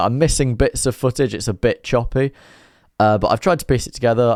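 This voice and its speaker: The recording is very clean, with a silent background. A man speaks with an East Midlands accent and ordinary pitch variation. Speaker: motorcycle vlogger. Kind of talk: casual vlog narration. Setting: riding a motorcycle outdoors.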